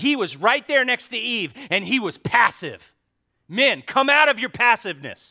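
A man's raised, projected voice with a bright, sharp tone at a moderate pace, on a very clean recording with a silent background. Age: 50s. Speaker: pastor. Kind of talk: sermon.

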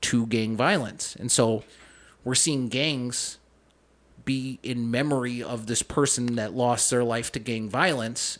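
A man's medium-pitched voice with an Upper Midwest accent, fairly even in intonation and fairly slow, over a quiet background. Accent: Upper Midwest American. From Minnesota (Saint Paul). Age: 30s. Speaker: police officer. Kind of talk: casual interview. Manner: talkative.

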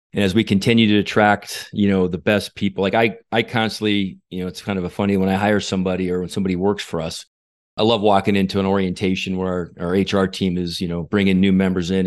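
Against a quiet background, a man talks at a very fast pace with a fairly low pitch. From New Mexico. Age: 40s. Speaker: parking company executive. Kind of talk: interview.

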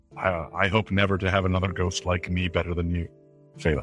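Over clear music in the background, a man in a put-on character voice speaks at a fairly quick pace with a very deep, low pitch. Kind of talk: formal, old-fashioned speech. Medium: actual play. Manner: stiff and polite.

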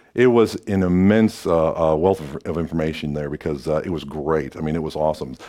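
A man with an American accent speaks at a very deep, low pitch in a dark, mellow tone. He moves at a fairly quick pace with hardly any pauses and ordinary pitch variation. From Quad Cities, Illinois/Iowa, US Midwest. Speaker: radio announcer. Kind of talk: casual interview chat.

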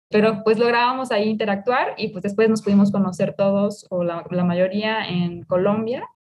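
A woman speaks at a medium pitch with fairly even intonation. Her pace is moderate, and she leaves hardly any pauses. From Mexico, Jalisco (El Grullo). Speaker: food engineer and entrepreneur. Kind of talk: interview. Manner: hesitant, with fillers.

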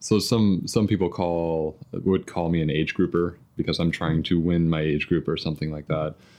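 Over a quiet background, a man speaks in a very deep, low pitch. His delivery is monotone and flat, at a moderate pace. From US Midwest (southern Indiana, near Louisville). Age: 30s. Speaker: marathon runner and software engineer. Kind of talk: casual interview chat. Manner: hesitant, many fillers.

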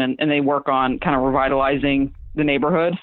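Speaking in a very deep, low voice with a slight Southern US accent, a woman talks at a fairly quick pace in a monotone, flat intonation. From Southwest Florida, Fort Myers. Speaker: illustrator and designer. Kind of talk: casual interview chat.

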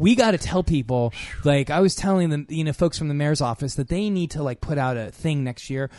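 With a dry, close sound and no echo, a normal speaking voice runs at a fairly quick pace with lively intonation. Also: man, fairly high pitch for a man. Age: 50s. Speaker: radio health show co-host, doctor. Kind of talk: casual chat.

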